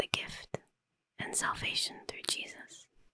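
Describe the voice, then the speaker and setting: Whispering at a fairly slow pace, a woman speaks in a calm tone. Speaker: ASMR creator, Bible reader. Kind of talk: whispered Bible reading. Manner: whispered, soft, calm.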